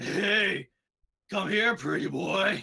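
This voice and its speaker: The speaker puts on a character voice at a middle pitch. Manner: flirtatious, teasing.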